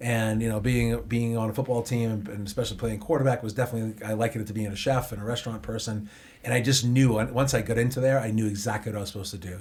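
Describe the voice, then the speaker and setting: A somewhat breathy man at a very fast pace, with a Boston accent. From Boston, US. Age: 50s. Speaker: chef and restaurant owner. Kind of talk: podcast interview. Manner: animated.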